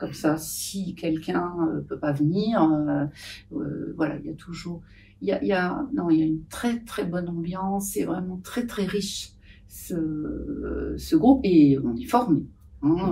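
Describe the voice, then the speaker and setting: There is audible room echo as a woman speaks at a very slow pace. Her pitch is fairly low and her intonation is lively. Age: 70s. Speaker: patient association volunteer. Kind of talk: podcast interview. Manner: hesitant, many fillers.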